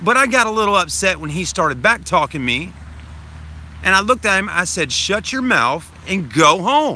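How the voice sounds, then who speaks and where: With a raised, projected voice, a man talks at a moderate pace in a high pitch, his animated, bright, sharp tone moving through very wide pitch swings. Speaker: vlogger. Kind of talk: livestream chat. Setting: livestream. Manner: loud, projecting.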